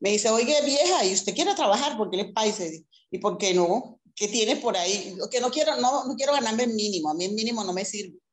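With a plain, everyday voice, a woman speaks at a moderate pace, her fairly high pitch showing ordinary variation. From Colombia, Caribbean coast (Sincelejo). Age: 60s. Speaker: saleswoman. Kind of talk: interview.

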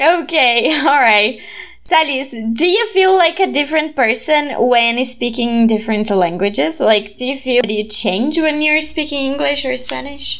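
Noticeable background noise surrounds a woman speaking with a Brazilian accent. Her high-pitched voice has lively intonation. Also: moderate pace. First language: Portuguese. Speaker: podcast host and student volunteer. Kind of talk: casual chat.

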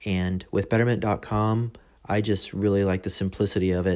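A man with an American accent speaks in a dark, mellow, fairly low voice with monotone, flat intonation at a moderate pace on a very clean recording with a silent background. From Texas. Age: 30s. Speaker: podcast host, military service member. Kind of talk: casual monologue podcast. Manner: casual, hesitant with fillers.

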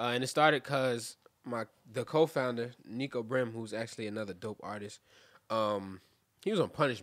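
With a Brooklyn accent, a man speaks at a medium pitch. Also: ordinary pitch variation, moderate pace. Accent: New York (Brooklyn). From Brooklyn, New York (Cypress Hills / East New York). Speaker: rapper. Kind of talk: casual interview.

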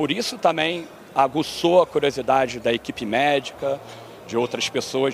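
A man with a fairly high pitch talks through noticeable background noise. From Brazil, Rio de Janeiro. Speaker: endurance athlete. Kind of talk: interview. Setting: conference venue.

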